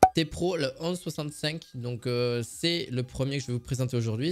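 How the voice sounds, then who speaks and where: A man with a southern French accent and ordinary pitch variation, in a very clean recording with a silent background. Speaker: product review youtuber. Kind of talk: product review video. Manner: hesitant, many fillers; casual, chatty.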